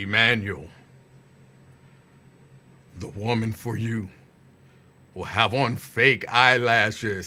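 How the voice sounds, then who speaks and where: A booming, put-on character voice from a man at medium pitch, very slow, with long, frequent pauses. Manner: solemn, commanding.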